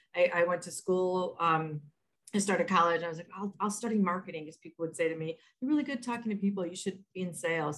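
At a very fast pace, a woman speaks in a somewhat breathy, medium-pitched voice with lively intonation. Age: 50s. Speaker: author and learning and development trainer. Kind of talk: interview. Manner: halting.

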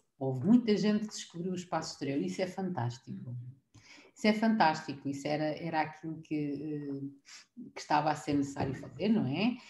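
A woman's very deep, low voice, dark and mellow in tone and somewhat breathy, with lively intonation at a fairly quick pace. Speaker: preschool teacher. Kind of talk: casual chat.

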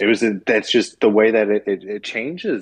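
Here is a man with a normal speaking voice and a fairly low pitch. He keeps a moderate pace and fairly even intonation. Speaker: podcast co-host. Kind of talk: casual chat.

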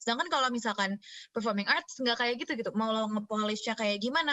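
A woman talks at a very fast pace. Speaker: university student and performer. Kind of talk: casual chat.

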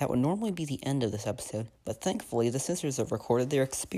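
Intonation here is lively. The reading is done aloud in a natural voice.

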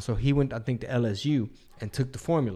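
Someone with an American accent talks at a very fast pace in a very clean recording with a silent background. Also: man. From Texas. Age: 30s. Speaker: comedian and podcast host. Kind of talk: casual chat.

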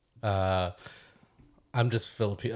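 A fairly low-pitched man at a moderate pace, his intonation fairly even. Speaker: podcast host. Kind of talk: casual chat.

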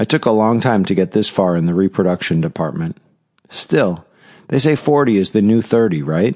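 A man speaks in a normal speaking voice with a fairly low pitch, lively intonation and a moderate pace. The sound is dry and close with no echo, and the loudness very even. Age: 40s. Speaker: novelist and podcaster. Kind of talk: reading aloud.

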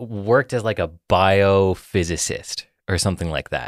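The sound is dry and close, with no echo. A man talks at a fairly slow pace. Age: 20s. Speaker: podcast co-host. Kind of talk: casual chat. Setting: studio.

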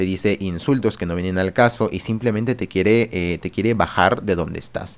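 A man talks with ordinary pitch variation in a fairly low register. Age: young. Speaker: streamer and podcast host. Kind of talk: personal monologue podcast. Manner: hesitant, many fillers.

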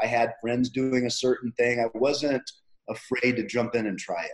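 Here a man speaks in a normal speaking voice at a medium pitch. His pace is moderate. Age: 50s. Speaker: personal trainer. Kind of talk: interview. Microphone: connection cutting out.

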